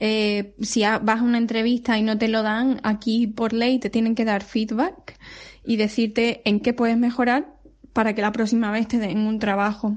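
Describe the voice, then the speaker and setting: A woman speaks fairly slowly in a fairly high, somewhat breathy voice. Her intonation stays flat and monotone, her loudness very even. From Spain, Seville. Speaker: pediatric physiotherapist. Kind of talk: recorded testimony.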